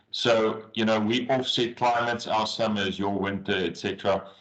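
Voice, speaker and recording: In a South African accent, a man with a fairly low pitch talks at a moderate pace with fairly even intonation. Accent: Afrikaans South African English. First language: Afrikaans. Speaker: agriculture business consultant. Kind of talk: webinar presentation.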